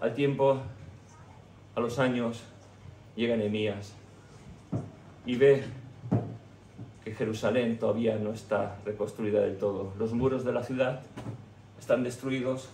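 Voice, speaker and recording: A somewhat breathy man at a fairly slow pace, monotone and flat, with long, frequent pauses and audible room echo. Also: medium pitch for a man. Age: 60s. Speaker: pastor. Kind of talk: sermon.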